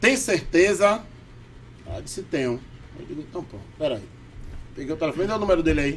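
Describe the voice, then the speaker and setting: A high-pitched man talks at a fairly quick pace. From Bahia, Salvador. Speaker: podcast guest. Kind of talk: casual chat. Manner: animated.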